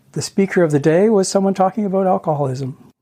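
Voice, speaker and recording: The voice has a dark, mellow tone and a Canadian accent. Its pitch varies in an ordinary way. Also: man. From Ontario, Canada. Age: 60s. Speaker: interview guest. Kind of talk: personal testimony.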